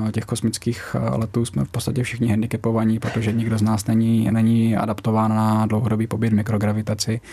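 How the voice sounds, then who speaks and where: With a dark, mellow tone, a man speaks at a fairly low pitch and a fairly quick pace in a flat, monotone way. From Czech Republic, Brno (Moravia). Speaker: military pilot and reserve astronaut. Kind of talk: radio interview.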